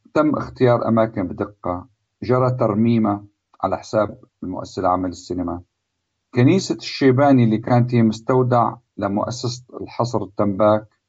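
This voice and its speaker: This man has an unremarkable speaking voice with a medium pitch. He talks at a moderate pace with ordinary pitch variation. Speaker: cinematographer. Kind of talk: interview.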